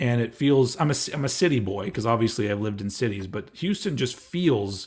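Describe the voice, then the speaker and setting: With an American accent, a man talks at a fairly quick pace and a medium pitch. His voice is somewhat breathy, and his intonation is lively. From Texas, Austin. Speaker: streamer hosting a live celebration. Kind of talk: casual chat. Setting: live stream.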